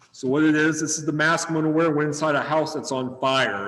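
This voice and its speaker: A man with a fairly high pitch speaks in fairly even intonation. The recording has noticeable background noise and audible room echo. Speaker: firefighter. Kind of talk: demonstration. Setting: video webinar from firehouse. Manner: casual.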